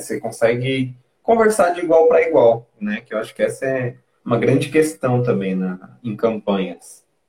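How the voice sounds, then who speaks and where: A man's voice at medium pitch. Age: 20s. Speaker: former city council candidate. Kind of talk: interview.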